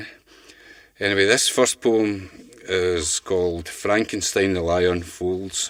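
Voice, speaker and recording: A man with a Glaswegian accent, a very deep, low pitch, fairly even intonation, and big swings in loudness. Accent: Glaswegian Scottish. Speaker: poet. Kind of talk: casual spoken introduction to poems. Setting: studio.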